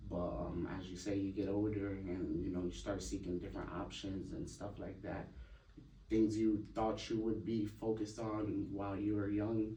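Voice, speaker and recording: A man's fairly low voice, dark and mellow, somewhat breathy, flat and monotone at a moderate pace, with audible room echo. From Hartford, Connecticut. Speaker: podcast guest. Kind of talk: interview. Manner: hesitant, many fillers.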